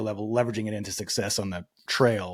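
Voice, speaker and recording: A man with an American accent talks very fast at a fairly low pitch. His intonation is fairly even, and the recording is very clean with a silent background. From Texas. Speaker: podcast host. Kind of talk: casual interview chat. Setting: podcast recording.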